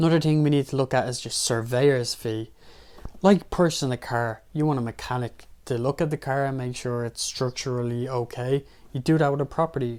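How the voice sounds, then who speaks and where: A man's medium-pitched voice with an Irish accent, fairly even intonation and a fairly quick pace. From Ireland. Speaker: personal finance YouTuber. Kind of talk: tutorial.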